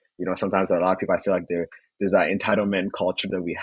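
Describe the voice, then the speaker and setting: A man's very deep, low voice in a Rwandan accent, dry and close with no echo. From Rwanda, moved to Canada in 2010. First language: Kinyarwanda. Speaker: finance student. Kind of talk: podcast interview.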